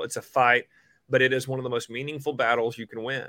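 Very fast in pace, a man with an American accent speaks in a bright, sharp tone with fairly even intonation. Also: very clean recording, silent background. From Oklahoma, rural. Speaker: state education superintendent, former teacher. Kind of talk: interview.

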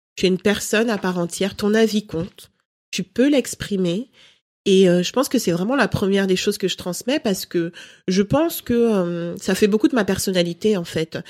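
A woman's unremarkable speaking voice at a moderate pace, with ordinary pitch variation and a dry, close sound with no echo. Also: medium pitch for a woman, very clean recording, silent background. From Cameroon, raised in France from age five. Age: 30s. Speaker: lifestyle blogger and mother. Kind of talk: interview.

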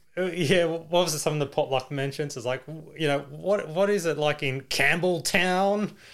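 On a very clean recording with a silent background, a man with an Australian accent speaks at a moderate pace, his fairly high pitch varying in an ordinary way. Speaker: podcast host. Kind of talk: casual chat.

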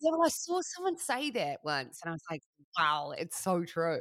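At a moderate pace, a woman speaks in a New Zealand accent. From New Zealand, Christchurch. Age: 30s. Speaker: radio broadcaster. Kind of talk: casual chat.

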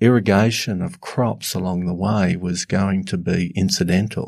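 A man's fairly low voice with an Australian accent, fairly slow pace, and a very clean recording over a silent background. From Northern Australia. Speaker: climate scientist. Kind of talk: panel discussion.

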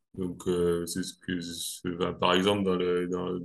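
A man with a very deep, low pitch and monotone, flat intonation against a quiet background. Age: 30s. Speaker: amateur pole dancer. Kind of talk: casual interview. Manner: halting, many hesitations.

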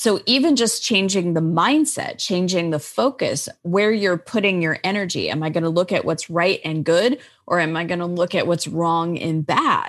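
In an ordinary speaking voice, a woman with an American accent and a fairly low pitch speaks at a moderate pace with hardly any pauses and lively intonation. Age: 50s. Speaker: life coach and author. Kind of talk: interview.

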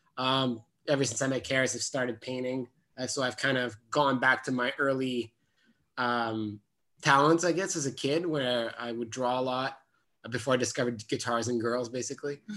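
A man with a medium-pitched, bright and sharp voice speaks at a moderate pace with fairly even intonation, recorded very cleanly against a silent background. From Gatineau, Quebec. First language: French. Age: 30s. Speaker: actor and filmmaker. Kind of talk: casual interview chat.

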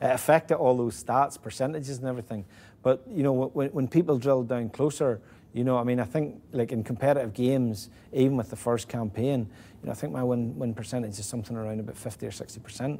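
Very fast speech comes from a man with a Northern Irish accent and a dark, mellow tone. His pitch sits at a medium level with ordinary variation. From Northern Ireland (Ballymena). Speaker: football manager. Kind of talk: casual interview. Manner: halting, many repetitions.

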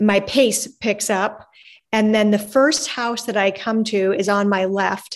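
A woman's plain, everyday voice, fairly slow, with fairly even intonation against a quiet background. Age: 50s. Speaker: abuse and trafficking survivor. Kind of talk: testimony.

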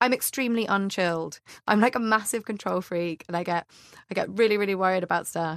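Speaking in an ordinary speaking voice, a woman talks at a medium pitch and fairly quick pace with ordinary pitch variation, the recording very clean, dry and close with no echo and a silent background. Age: 20s. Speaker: comedian. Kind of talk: casual chat.

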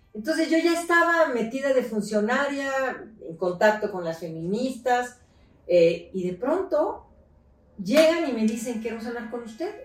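A woman speaks at a fairly slow pace with a fairly high pitch. Her voice makes very wide pitch swings and big swings in loudness. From Mexico City, raised in León, Guanajuato. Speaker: politician and feminist activist. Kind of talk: interview. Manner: animated, halting with repetitions.

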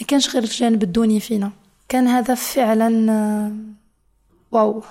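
Her pitch fairly high and her intonation monotone and flat, a woman speaks at a moderate pace. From Niger, Niamey. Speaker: university student. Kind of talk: personal testimony.

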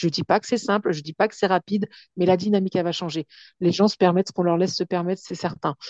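A woman at medium pitch races along at a very fast pace, her intonation fairly even. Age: 40s. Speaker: writer and speaker, abuse survivor. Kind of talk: testimony. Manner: halting.

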